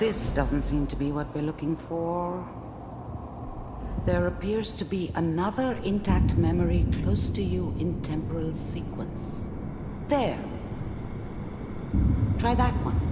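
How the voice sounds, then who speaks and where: A put-on character voice at a fairly slow pace under loud background noise. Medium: short film. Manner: calm, measured.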